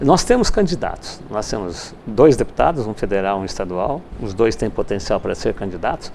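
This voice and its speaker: There is noticeable background noise as a man of medium pitch talks at a moderate pace with very wide pitch swings and hardly any pauses. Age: 60s. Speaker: university rector and politician. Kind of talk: TV interview.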